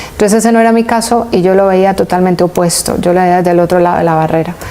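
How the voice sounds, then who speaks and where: Over noticeable background noise, the speaker goes at a fairly quick pace in a flat monotone. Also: woman. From Colombia, Valle del Cauca and Pereira. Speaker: entrepreneur, business association founder. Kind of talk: interview.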